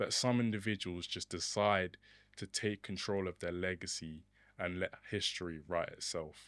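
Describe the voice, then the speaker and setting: With a British accent, a man with a very deep, low pitch speaks at a moderate pace and fairly even intonation on a very clean recording with a silent background. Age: young (19). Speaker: podcast co-host. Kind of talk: podcast introduction.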